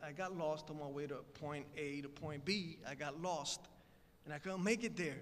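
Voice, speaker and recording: A man with a fairly high pitch and a Spanish accent speaks with audible room echo. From Puerto Rico. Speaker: guest speaker. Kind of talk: speech. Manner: conversational, many fillers.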